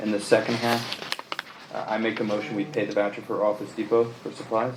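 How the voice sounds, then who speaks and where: Over noticeable background noise, a soft-spoken man talks very fast in a fairly low voice with monotone, flat intonation. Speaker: planning board member. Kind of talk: board meeting discussion.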